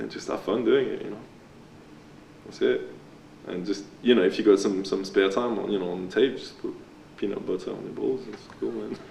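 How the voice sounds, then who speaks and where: Over noticeable background noise, a man talks at a fairly quick pace with big swings in loudness and long, frequent pauses. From France. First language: French. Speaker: graffiti and body paint artist. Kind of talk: documentary interview. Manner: hesitant, many fillers and repeats.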